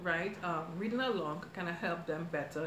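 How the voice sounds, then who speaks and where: A woman speaks at a fairly quick pace with a fairly low pitch. Audible room echo and noticeable background noise are present. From Trinidad. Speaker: cooking YouTuber. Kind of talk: live stream chat. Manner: fast; chatty.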